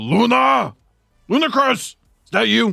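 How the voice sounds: A man's gravelly, put-on character voice, high in pitch with very wide pitch swings, at a fairly slow pace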